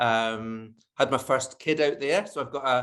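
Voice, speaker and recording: With a Scottish accent, a man speaks at a medium pitch in fairly even intonation. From Scotland. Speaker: advertising strategist. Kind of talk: interview.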